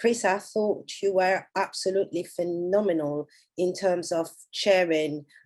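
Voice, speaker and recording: A woman speaks with a French accent in a fairly low pitch, her intonation fairly even. Her tone is dark and mellow, set against a quiet background. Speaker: conference organizer. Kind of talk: panel discussion wrap-up.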